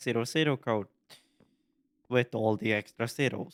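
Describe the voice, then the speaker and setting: The recording of this man is very clean, with a silent background. His sound is dry and close, without any echo. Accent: Norwegian. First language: Norwegian. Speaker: gaming YouTuber. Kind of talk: casual gaming commentary. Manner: halting.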